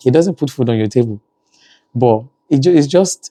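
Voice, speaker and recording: Recorded dry and close with no echo, a man speaks in a dark, mellow tone. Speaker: family vlogger, parent. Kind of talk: casual vlog talk.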